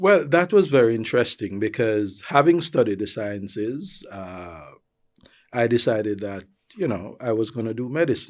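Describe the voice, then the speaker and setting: Speaking with a Jamaican accent, a man uses a medium pitch at a moderate pace. His loudness swings a lot, and the recording is very clean with a silent background. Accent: flat Jamaican. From Jamaica, rural Clarendon. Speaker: tourism executive. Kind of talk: interview.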